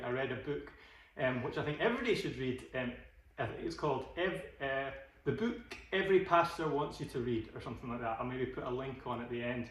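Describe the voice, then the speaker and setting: A man with a Scottish accent talks fairly quickly at a medium pitch with ordinary pitch variation. Audible room echo and noticeable background noise fill the recording. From Glasgow. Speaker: podcast host. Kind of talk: casual chat. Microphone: phone recording, technical issues.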